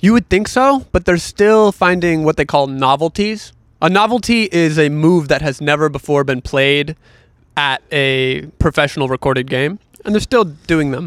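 With an unremarkable speaking voice, a man talks at a moderate pace with lively intonation and fairly high pitch, in dry, close sound with no echo. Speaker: podcast guest chess player. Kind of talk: casual chat.

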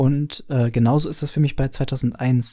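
Medium-pitched man, somewhat breathy and dark, mellow in tone, on a very clean recording with a silent background. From Franconia, Bavaria. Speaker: podcaster, film fan. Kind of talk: recorded voice message.

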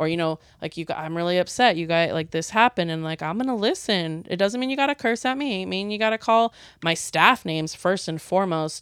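Fairly low-pitched woman's voice, lively intonation and a fairly quick pace, in a very clean recording with a silent background. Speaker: podcast guest, restaurant manager. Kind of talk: casual chat. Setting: home living room studio.

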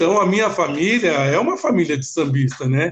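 Pitched high for a man, this male voice keeps a moderate pace and ordinary pitch variation. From Brazil, São Paulo (Vila Mariana). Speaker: samba dancer and dance coach. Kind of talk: radio interview. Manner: halting, repeats words.

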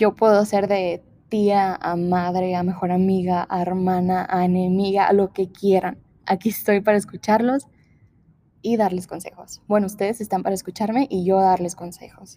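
In a dark, mellow tone, the speech keeps a moderate pace and a monotone, flat intonation. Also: woman, medium pitch for a woman. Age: 20s. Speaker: podcast host. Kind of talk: casual monologue. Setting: large empty room.

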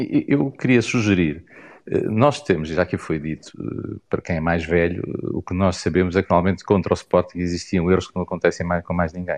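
Against a quiet background, a man with a very deep, low voice talks at a moderate pace with ordinary pitch variation. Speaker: football fan commentator. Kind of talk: online group discussion.

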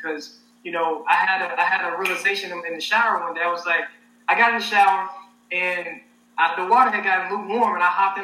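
A raised, projected voice in an American accent talks at a very fast pace. Noticeable background noise runs underneath. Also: man. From Arkansas, US South. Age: 20s. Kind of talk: casual interview. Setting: online livestream.

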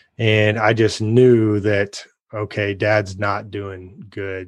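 A man's fairly low voice at a very slow pace against a quiet background. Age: 30s. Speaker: founder of a fatherhood coaching organization. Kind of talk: casual interview.

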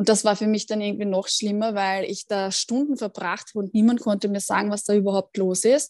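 The speaker is a woman with an unremarkable speaking voice at a medium pitch and a fairly quick pace, heard dry and close with no echo against a quiet background. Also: fairly even intonation. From Austria, Vienna. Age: 30s. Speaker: mental trainer and cancer patient. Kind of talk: interview testimony.

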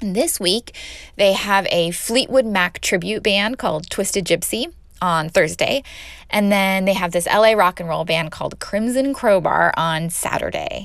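A woman with an American accent speaks at a moderate pace and a medium pitch, with ordinary pitch variation. The recording is very clean, with a silent background. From Los Angeles. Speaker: podcast host. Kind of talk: casual podcast monologue.

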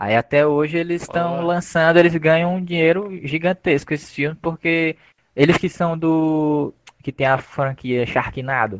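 In a normal speaking voice, a man talks at a fairly slow pace with a fairly high pitch and ordinary pitch variation, the sound dry and close with no echo. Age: 20s. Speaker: graphic designer and podcast host. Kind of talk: casual chat.

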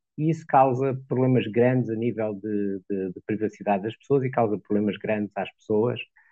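This man has a normal speaking voice, medium in pitch, talking at a moderate pace with ordinary pitch variation. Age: 60s. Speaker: lawyer. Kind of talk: interview.

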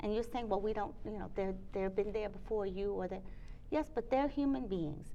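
Audible room echo surrounds a woman with an American accent. Her tone is dark and mellow, and her intonation is lively. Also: medium pitch for a woman, moderate pace. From Trinidad and New York. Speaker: curator and gallery owner. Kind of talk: casual chat. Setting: arts building.

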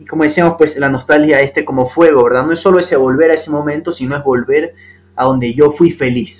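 A plain, everyday voice from a man, fairly high in pitch, fairly quick, with fairly even intonation. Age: 20s. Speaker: lawyer and novelist, podcast guest. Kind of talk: casual philosophical conversation.

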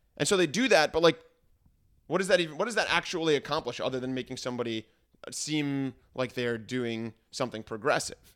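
A plain, everyday voice moves at a fairly quick pace with lively intonation. The recording is very clean, with a silent background. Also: man, fairly high pitch for a man. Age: 20s. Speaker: teacher. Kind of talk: casual chat.

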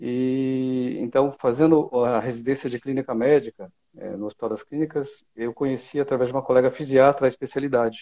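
A man's medium-pitched, dark, mellow voice at a moderate pace, with fairly even intonation, big swings in loudness, and a dry, close sound with no echo. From Brazil, São Paulo state. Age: 50s. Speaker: physiatrist and medical professor. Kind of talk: expert interview.

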